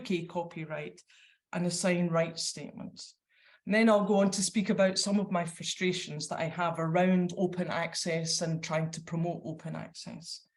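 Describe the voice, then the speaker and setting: A woman with a Scottish accent speaks in a somewhat breathy voice with monotone, flat intonation. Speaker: librarian. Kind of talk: conference presentation. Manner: hesitant, many fillers; reading from notes.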